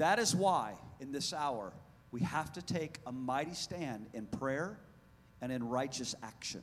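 In a room with audible echo, a man with a medium pitch speaks at a fairly slow pace, his tone animated and his intonation lively. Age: 40s. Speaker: pastor. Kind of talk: sermon. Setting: church.

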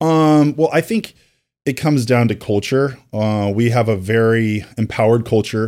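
On a very clean recording with a silent background, a man with a plain, everyday voice talks at a moderate pace and medium pitch, his loudness very even and his pitch varying in an ordinary way. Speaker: mortgage company president. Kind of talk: casual interview chat.

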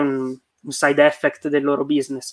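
Bright and sharp in tone, a man speaks at a fairly high pitch in a dry, close recording with no echo. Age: 20s. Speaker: software engineer. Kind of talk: casual interview chat.

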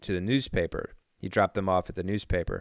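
A man talking at a very fast pace, with a dry, close sound with no echo and a very clean recording over a silent background. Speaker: co-host. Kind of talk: casual banter podcast.

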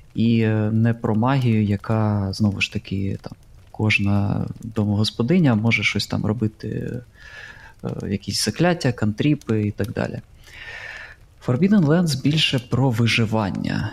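Somewhat breathy, a man with a medium pitch speaks at a fairly slow pace, using ordinary pitch variation and long, frequent pauses. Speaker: tabletop RPG podcaster, game master. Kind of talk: casual chat.

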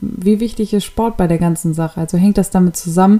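A woman talks in a dark, mellow tone with monotone, flat intonation. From Hannover, northern Germany. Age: 20s. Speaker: podcast host, fitness trainer. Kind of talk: monologue podcast intro.

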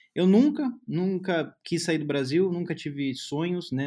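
Against a quiet background, a man talks with a Brazilian accent. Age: 20s. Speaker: software developer. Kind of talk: casual chat.

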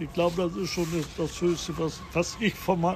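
Against noticeable background noise, a man with a high pitch speaks with fairly even intonation. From North Frisia, northern Germany (Tönning). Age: 80s+. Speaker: restaurateur. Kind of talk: interview. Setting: on location on Sylt.

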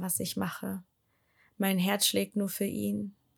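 Moderate-paced speech from a woman, very clean recording, silent background. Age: 20s. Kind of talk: personal testimony monologue. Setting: home, sitting on living room floor. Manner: hesitant, many filler sounds.

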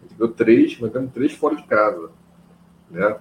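A man at a fairly quick pace, with lively intonation and vocal fry. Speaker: football podcast host. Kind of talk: casual chat.

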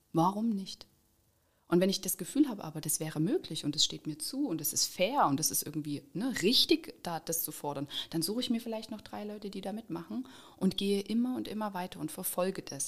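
At a very fast pace, a woman speaks with fairly low pitch and lively intonation. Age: 30s. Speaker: trade union organizer. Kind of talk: interview.

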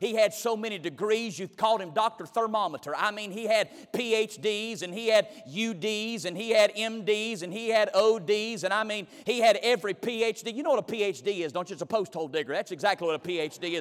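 A man's high-pitched voice in a Southern US accent, with ordinary pitch variation and hardly any pauses. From US South, North Carolina. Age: 30s. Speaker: guest preacher. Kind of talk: sermon. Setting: church.

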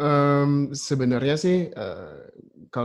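Fairly even intonation from a male speaker. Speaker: worship leader. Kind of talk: casual panel discussion. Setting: video call. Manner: calm.

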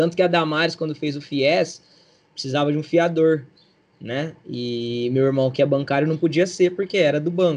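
This man has a plain, everyday voice, fairly high in pitch, with ordinary pitch variation at a moderate pace. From Brazil, São Paulo state (Barrinha, near Ribeirão Preto). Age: 30s. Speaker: PE teacher and local political candidate. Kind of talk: casual interview.

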